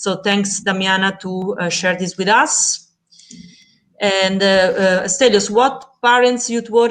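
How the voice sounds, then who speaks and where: Speaking very slowly with an Italian accent, a woman keeps a medium pitch and fairly even intonation. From Italy. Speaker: project moderator. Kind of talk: live-streamed panel discussion.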